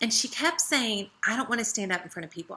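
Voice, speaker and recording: An animated woman's voice, bright and sharp in tone, with an American accent. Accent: Southern US accent, strong at times. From US South. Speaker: essential oils team leader. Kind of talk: training talk. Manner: casual.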